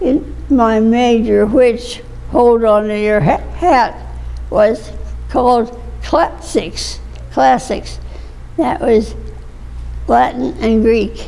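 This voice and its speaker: A woman speaks at a very slow pace with long, frequent pauses. Noticeable background noise runs underneath. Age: 80s+. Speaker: retired speech and journalism instructor. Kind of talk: interview answer. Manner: reminiscing, conversational.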